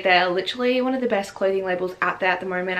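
A woman with an Australian accent, ordinary pitch variation, and a very fast pace. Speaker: fashion vlogger. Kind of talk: casual talk to camera. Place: home room.

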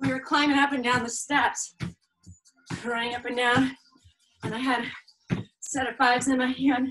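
A high-pitched woman at a moderate pace with monotone, flat intonation and faint music in the background. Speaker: fitness instructor. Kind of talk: workout instruction. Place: home room. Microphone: camera far.

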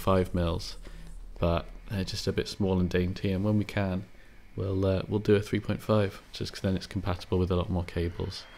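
A man speaks at a fairly quick pace in a very deep, low voice, his intonation monotone and flat. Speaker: headphone repair technician. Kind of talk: tutorial voice-over. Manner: soft, ASMR-style.

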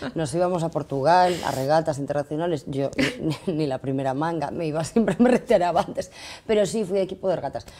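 A woman with a dark, mellow tone and fairly low pitch talks at a very fast pace with ordinary pitch variation. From Galicia, Spain. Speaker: actress. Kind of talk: casual interview. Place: studio. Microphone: lapel.

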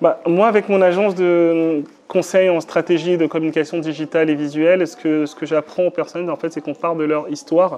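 A man with a fairly high voice speaks at a moderate pace with fairly even intonation over light background noise. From Benin. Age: 30s. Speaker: digital communication consultant and entrepreneur; interviewee. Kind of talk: interview testimony. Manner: hesitant, many fillers. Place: home room.

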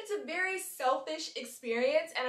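There is light background noise and audible room echo as a woman speaks. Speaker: travel vlogger. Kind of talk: casual vlog chat. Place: home room.

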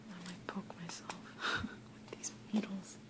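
The speaker is soft-spoken, with loud background noise behind. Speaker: ASMR creator. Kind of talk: ASMR soft-spoken sewing kit sounds video. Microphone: phone near.

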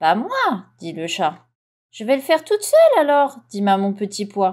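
A woman's animated, gentle tone at medium pitch, slowish in pace, with very wide pitch swings and big swings in loudness. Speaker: audiobook reader. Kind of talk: bedtime story read aloud. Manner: gentle, soothing storyteller pace; animated, with distinct character voices for mama, papa and cat.

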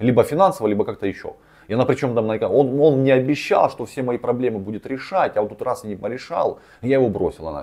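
A man talks at a very fast pace in a dark, mellow tone with lively intonation, against a quiet background. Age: 30s. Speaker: relationship blogger and coach; psychology blogger. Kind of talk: video commentary on a viewer's story. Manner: rambling, filler-heavy speech. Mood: casual, slightly ironic. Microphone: lapel.

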